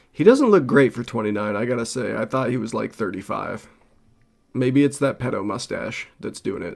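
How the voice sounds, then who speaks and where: A man with an American accent talks in a normal speaking voice at a moderate pace, with ordinary pitch variation and big swings in loudness. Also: medium pitch for a man. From Los Angeles. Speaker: streamer. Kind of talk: reaction stream commentary. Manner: casual.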